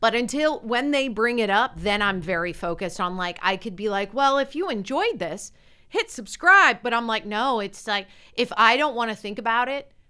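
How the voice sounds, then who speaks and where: With an American accent, a woman talks at a moderate pace in a fairly high, bright, sharp voice, her tone animated and her intonation lively, on a very clean recording with a silent background. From Las Vegas, US. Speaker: podcast co-host. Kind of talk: casual chat.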